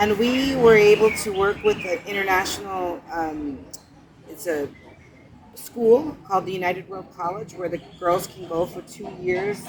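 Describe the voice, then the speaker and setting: A woman speaks at a medium pitch and a moderate pace, with ordinary pitch variation. Noticeable background noise sits behind her. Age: 60s. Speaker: charity founder. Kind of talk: interview. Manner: halting.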